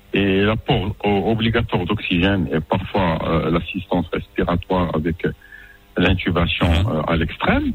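A man's very deep, low pitch at a fairly slow pace, with fairly even intonation, very even loudness and noticeable background noise. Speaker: general practitioner. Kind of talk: interview.

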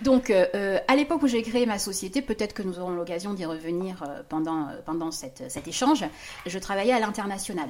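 This woman's voice is a normal speaking voice with lively intonation. She talks at a moderate pace and a medium pitch. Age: 50s. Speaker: business consultant. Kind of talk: casual chat.

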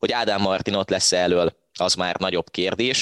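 With a plain, everyday voice and a fairly low pitch, a man speaks at a moderate pace in a dry, close sound with no echo. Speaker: football podcast host. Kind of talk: casual football discussion.

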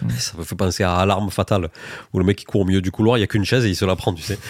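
A man talks at a very fast pace with a fairly low pitch. The recording is very clean, with a silent background and a dry, close sound that has no echo. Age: 30s. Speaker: podcast host. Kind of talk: casual chat.

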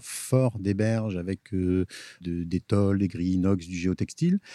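In a very clean recording with a silent background and a dry, close sound with no echo, a man speaks with a fairly low pitch and a dark, mellow tone. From Picardy, near Amiens. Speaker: gardener-landscaper. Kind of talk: casual interview. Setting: outdoors, on a boat. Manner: halting, with repetitions.

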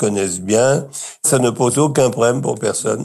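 With ordinary pitch variation and an unremarkable speaking voice, a man talks at a fairly slow pace. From Brittany, France. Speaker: retirement home resident. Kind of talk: interview testimony.

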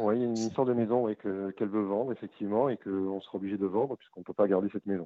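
This man talks at a very fast pace with hardly any pauses. His pitch is fairly low and his intonation fairly even. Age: 30s. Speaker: caller. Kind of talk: phone consultation. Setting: phone call.

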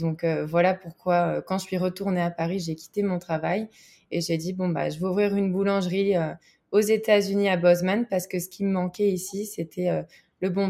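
At a moderate pace, a woman speaks in a dark, mellow tone with monotone, flat intonation. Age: 20s. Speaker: baker. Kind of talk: interview.

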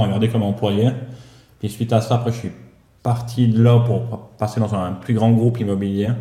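Delivered at a moderate pace, the voice is somewhat breathy and stays monotone with flat intonation. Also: man. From Switzerland, Valais. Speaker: property manager. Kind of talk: casual chat.

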